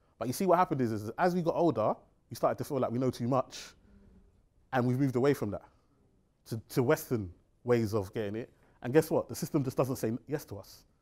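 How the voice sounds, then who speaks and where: Over a quiet background, a man with a London accent speaks at a very fast pace in an animated tone with ordinary pitch variation. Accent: London English (multicultural London). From East London, England (Tower Hamlets). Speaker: financial advisor and seminar speaker; speaker. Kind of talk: seminar talk. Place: meeting room.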